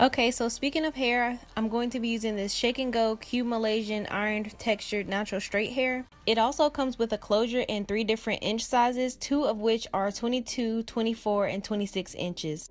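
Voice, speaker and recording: Fairly quick and with hardly any pauses, a woman speaks at a fairly high pitch. Hers is an unremarkable speaking voice with fairly even intonation. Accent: American. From North Carolina, US South. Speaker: beauty YouTuber. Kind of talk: scripted voiceover.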